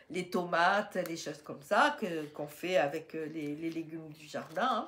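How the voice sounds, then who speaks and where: This woman talks at a fairly slow pace with fairly low pitch and ordinary pitch variation. Her loudness swings widely. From southeastern France, Riviera near Menton. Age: 60s. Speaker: YouTuber, retired grandmother. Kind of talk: casual Q&A monologue. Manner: hesitant, many fillers.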